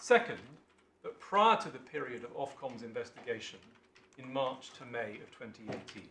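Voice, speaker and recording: A man with an English accent speaks at a moderate pace and medium pitch. Audible room echo fills the recording. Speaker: barrister. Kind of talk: legal submission in court. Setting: courtroom. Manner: formal.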